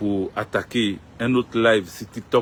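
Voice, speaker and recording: A man's fairly low-pitched voice with fairly even intonation. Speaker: political commentator. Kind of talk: live stream monologue. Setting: social media live stream.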